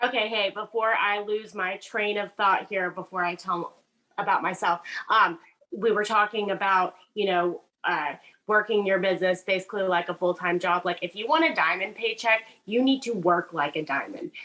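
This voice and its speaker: Talking at a moderate pace with ordinary pitch variation, a woman with a Southern US accent has a medium pitch. Her tone is bright and sharp. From US South, Charleston, South Carolina. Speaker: network marketing seller. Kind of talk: casual testimony on video call. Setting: video call. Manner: halting, many fillers.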